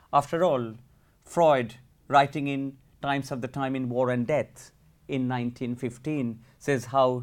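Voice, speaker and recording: Dramatic, solemn tone in monotone, flat intonation at a fairly slow pace, on a very clean recording with a silent background. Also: man. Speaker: academic historian. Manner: measured, solemn, formal; dramatic, storytelling, vivid emphasis.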